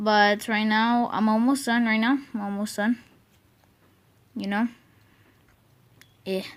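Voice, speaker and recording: A woman's fairly slow, monotone, flat delivery broken by long, frequent pauses. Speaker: YouTuber. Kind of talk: tutorial. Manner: halting.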